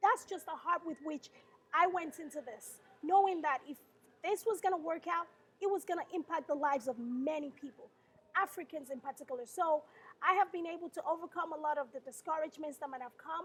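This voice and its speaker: A woman with an extremely high pitch talks at a fairly quick pace, her loudness swinging widely and her pitch varying in an ordinary way. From southern Nigeria. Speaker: pageant founder. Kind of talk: interview.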